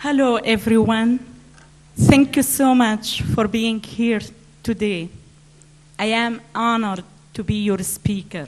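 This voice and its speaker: With noticeable background noise behind her, a woman with an Arabic accent speaks very slowly in a fairly high pitch, ordinary pitch variation and long, frequent pauses. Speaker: author, speaker. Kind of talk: public speech. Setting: stage with audience at conference.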